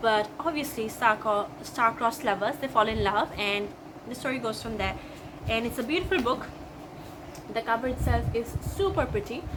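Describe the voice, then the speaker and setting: A woman with an Assam accent, fairly high in pitch with ordinary pitch variation, at a moderate pace broken by long, frequent pauses, over noticeable background noise. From India, Assam. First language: Assamese. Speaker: booktuber. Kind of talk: book haul video. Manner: enthusiastic.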